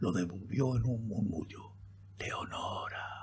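A man with an ordinary speaking voice, fairly low in pitch, at a fairly slow pace. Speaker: audiobook narrator. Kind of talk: dramatic narration of a horror poem, read aloud in an intimate, spooky tone. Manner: slow, hushed, theatrical with suspenseful pauses; intense, solemn, ominous.

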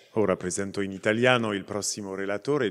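A man talks against a quiet background. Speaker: conference moderator. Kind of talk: formal introductions. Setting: conference hall with audience. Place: hall. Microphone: podium.

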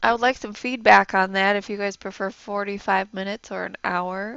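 A soft-spoken woman has a medium pitch and fairly even intonation. Her tone is clear, smooth and fairly bright, with some vocal fry. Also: moderate pace.

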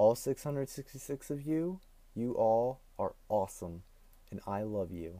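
A man speaks at a fairly slow pace in a medium pitch. His tone is dark and mellow, his intonation lively. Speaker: vlogger. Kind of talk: casual vlog talk to camera. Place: home room. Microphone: earbuds.

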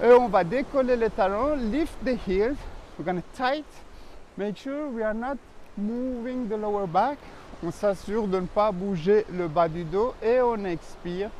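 A man speaks at a fairly slow pace in a high voice with ordinary pitch variation, the sound dry with no echo and light background noise underneath. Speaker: pilates instructor. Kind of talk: bilingual exercise instruction. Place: beach.

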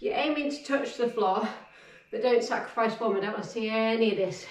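With audible room echo and light background noise, a woman speaks in a fairly even intonation. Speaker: fitness instructor. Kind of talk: workout instruction. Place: home room.

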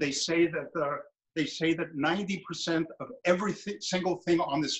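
This man has a New York accent. His voice sits fairly high. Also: quiet background. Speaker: artist and sculptor. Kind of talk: studio tour and demonstration. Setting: video call. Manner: animated, repetitive. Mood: reflective, warm. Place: workshop. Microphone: phone near.

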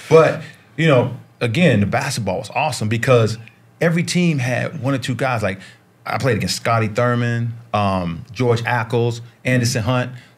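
A man's somewhat breathy voice holds a medium pitch, a moderate pace and ordinary pitch variation. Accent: American. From US South, Charlotte, North Carolina. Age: 50s. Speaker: basketball coach and former pro player. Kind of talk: casual chat. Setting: studio.

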